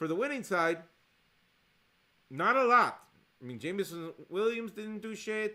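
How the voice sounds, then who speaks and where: A man speaks in a high, raised, projected voice with an animated, bright, sharp tone and lively intonation. His loudness swings widely, and long, frequent pauses break up his speech. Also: fairly slow pace. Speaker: fantasy football league commentator. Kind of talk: casual recap monologue. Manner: casual, animated.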